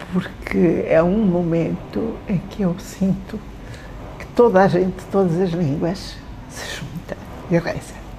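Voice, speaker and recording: A woman talks at a very slow pace with a fairly low pitch, fairly even intonation and big swings in loudness. Audible room echo and noticeable background noise fill the recording. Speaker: retired university professor. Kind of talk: interview.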